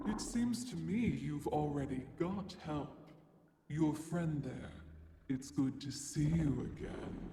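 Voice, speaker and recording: A put-on character voice from a man, fairly high in pitch, with a clear echo. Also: fairly slow pace. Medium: video game. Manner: cryptic, oracular.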